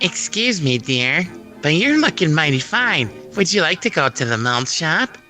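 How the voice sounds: A woman uses a put-on character voice with a very deep, low pitch and very wide pitch swings. She speaks at a moderate pace with clear music in the background.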